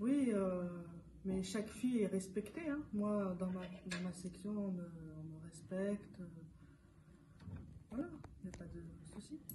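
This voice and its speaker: Pausing long and often, a woman with a medium pitch speaks at a fairly slow pace with ordinary pitch variation. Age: 20s. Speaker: EPIDE volunteer. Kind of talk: interview answer.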